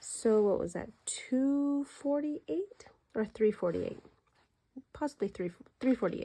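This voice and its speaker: Soft-spoken, a woman uses a dark, mellow tone and lively intonation at a moderate pace in a very clean recording with a silent background. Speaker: budgeting content creator. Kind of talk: cash envelope stuffing tutorial. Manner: soft-spoken, quiet; counting aloud.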